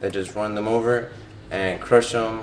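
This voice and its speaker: Audible room echo hangs around a man speaking in a flat monotone. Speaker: vlogger reviewing a film. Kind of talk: casual film commentary. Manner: hesitant, many fillers and repetitions.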